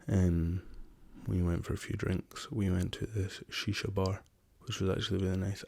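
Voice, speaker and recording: Soft-spoken and somewhat breathy, a man with a Scottish accent talks in a very deep, low pitch with a dark, mellow tone and monotone, flat intonation. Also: very clean recording, silent background. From Scotland. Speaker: rapper. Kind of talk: ASMR soft-spoken travel story.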